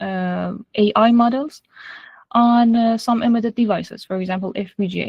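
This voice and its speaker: Delivered at a fairly slow pace, the speech is monotone and flat, with an Iranian accent. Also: woman. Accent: Iranian (Persian). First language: Persian. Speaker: AI and machine learning engineer. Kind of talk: lecture. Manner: halting, frequent fillers.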